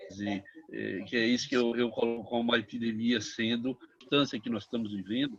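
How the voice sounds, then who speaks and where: Speaking at a fairly quick pace, a man with a medium pitch uses monotone, flat intonation, with big swings in loudness. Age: 70s. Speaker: psychiatrist, participant in discussion. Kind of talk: panel discussion, online round table. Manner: halting, many fillers.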